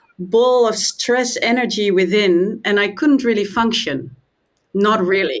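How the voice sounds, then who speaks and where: The speaker has a Dutch accent and ordinary pitch variation. The pace is fairly slow. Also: woman. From Netherlands. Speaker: meditation and trauma trainer. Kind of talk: interview.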